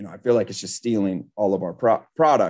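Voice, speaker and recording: Against a quiet background, a man talks at a fairly quick pace with lively intonation. He has an ordinary speaking voice. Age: 40s. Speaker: microfiber products business owner. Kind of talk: interview. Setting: live-streamed podcast.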